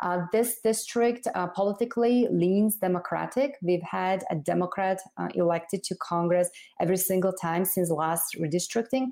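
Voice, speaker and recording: A woman with a Slovak accent speaks at a fairly low pitch in a dark, mellow tone, with ordinary pitch variation and a moderate pace. The recording is very clean, with a silent background. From Slovakia. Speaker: congressional candidate. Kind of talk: interview.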